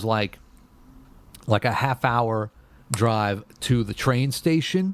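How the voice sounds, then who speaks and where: Here a man with an American accent speaks at a very slow pace. His pitch is medium, with ordinary variation. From New York City, Brooklyn. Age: 40s. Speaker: bass guitarist. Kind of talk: casual podcast interview. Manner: halting, many restarts.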